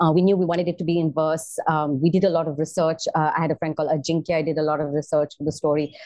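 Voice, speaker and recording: At a very fast pace with hardly any pauses, a woman talks in a very deep, low pitch. Her intonation is monotone and flat. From India, Bombay. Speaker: theater performer and corporate coach. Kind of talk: interview. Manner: hesitant, many fillers.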